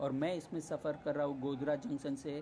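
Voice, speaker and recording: Moderate pace against light background noise. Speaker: travel vlogger. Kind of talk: casual vlog narration. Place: train. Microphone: phone near.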